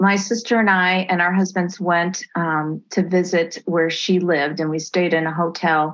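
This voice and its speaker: With an American accent, a woman speaks at a moderate pace with hardly any pauses. She has an unremarkable speaking voice, fairly low in pitch, with fairly even intonation. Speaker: adoptee and memoir author. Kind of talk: interview testimony.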